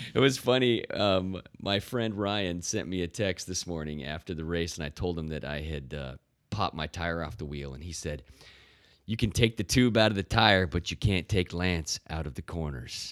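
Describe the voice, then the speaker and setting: With vocal fry and a very deep, low pitch, a man speaks at a moderate pace with ordinary pitch variation in a very clean recording against a silent background. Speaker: cyclist. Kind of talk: casual chat.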